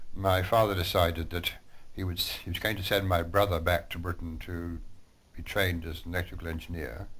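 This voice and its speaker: A man's very deep, low voice at a fairly quick pace, fairly even in intonation, with audible room echo. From Australia (born in Scotland, raised there from age 5 to 18). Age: 70s. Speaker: war veteran, former prisoner of war. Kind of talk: interview.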